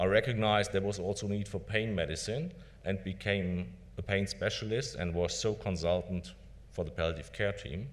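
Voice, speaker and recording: In a room with audible echo, a man speaks at a moderate pace and a fairly low pitch with ordinary variation. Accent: German. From Germany. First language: German. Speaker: palliative care doctor. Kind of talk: conference lecture. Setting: conference stage with audience.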